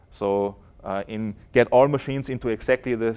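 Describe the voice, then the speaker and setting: A man with a German accent. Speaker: software developer. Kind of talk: conference talk. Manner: halting, many fillers.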